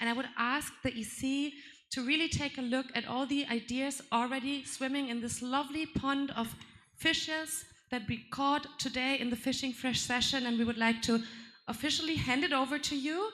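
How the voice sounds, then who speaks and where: A woman with a high voice speaks at a moderate pace and a fairly even intonation, with noticeable background noise and audible room echo around her. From Germany. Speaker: puppetry youth representative. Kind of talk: conference plenary speech.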